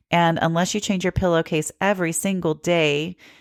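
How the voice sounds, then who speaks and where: With a slight Southern US accent, a woman speaks at a moderate pace and fairly low pitch, her intonation fairly even, in a dry, close sound with no echo and a very clean recording against a silent background. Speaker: podcast host. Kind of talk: podcast monologue. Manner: casual, conversational.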